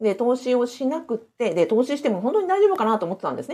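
A woman speaks at a very fast pace, her pitch swinging very widely. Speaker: former civil servant, side-business and real estate coach. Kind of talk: live-streamed solo talk. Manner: many fillers, conversational.

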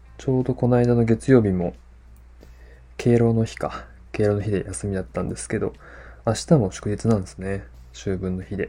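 A man speaks in a relaxed, somewhat breathy voice, fairly low in pitch and dark and mellow in tone, with lively intonation and big swings in loudness. He leaves long, frequent pauses, and the recording is very clean with a silent background. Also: moderate pace. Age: 30s. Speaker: podcast host. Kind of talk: casual solo podcast talk. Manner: relaxed, many fillers.

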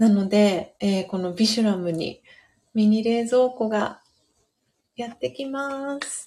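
At a very slow pace, a woman speaks in a dark, mellow tone. Her pitch is fairly high. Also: ordinary pitch variation. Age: 30s. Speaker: podcast host. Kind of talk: casual chat; reading aloud. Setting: live stream. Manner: frequent fillers.

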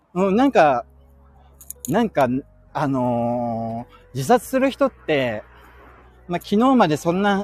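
A man's voice swings very widely in pitch, with a dry, close sound and no echo. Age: 30s. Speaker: podcaster. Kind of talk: casual chat. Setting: outdoors.

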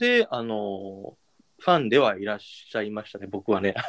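In a dry, close recording without any echo, a man talks using lively intonation. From Japan. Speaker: podcaster. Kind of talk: casual chat. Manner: light, breezy.

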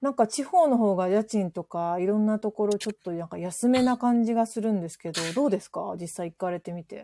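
A woman's medium-pitched voice has a dark, mellow tone and ordinary pitch variation, with big swings in loudness. She talks at a fairly quick pace with hardly any pauses, in a very clean recording with a silent background and a dry, close sound with no echo. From western Japan, Kansai area, rural. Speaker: office worker on remote work. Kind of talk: casual chat.

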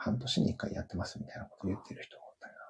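A man is speaking in a dark, mellow tone. His voice is somewhat breathy. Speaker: company employee, technical college graduate. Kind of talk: casual conversation. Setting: joined livestream as speaker.

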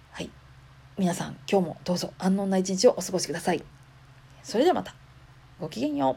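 A woman with a Kansai accent speaks at a fairly quick pace in a medium pitch, her dark, mellow tone somewhat breathy, with ordinary pitch variation, big swings in loudness, and long, frequent pauses. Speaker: podcaster. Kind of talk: casual monologue.

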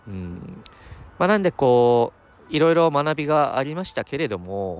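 A man speaks at a moderate pace with lively intonation, in a normal speaking voice. The sound is dry and close with no echo, over a quiet background. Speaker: MBA student podcaster. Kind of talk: casual solo podcast monologue. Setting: outdoors. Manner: rambling, filler-heavy, chatty.

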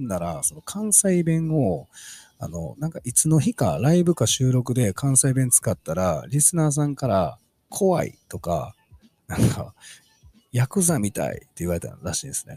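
A man's medium-pitched, dark, mellow, somewhat breathy voice with very wide pitch swings, at a moderate pace, dry and close with no echo. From Osaka, Kansai (Kyoto side). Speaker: podcast host. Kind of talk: casual solo talk.

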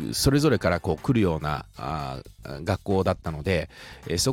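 The voice has vocal fry and very wide pitch swings. The recording is very clean, with a silent background. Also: man. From Shizuoka, Japan. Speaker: podcaster. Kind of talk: casual solo podcast explainer.

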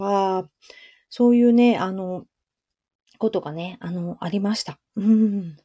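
Talking at a moderate pace, a woman of medium pitch has a dark, mellow tone and fairly even intonation. The sound is dry and close with no echo, and the background is quiet. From Japan, Shizuoka. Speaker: clothing maker and livestreamer. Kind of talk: casual live-stream monologue. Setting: live audio stream. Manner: frequent fillers, meandering.

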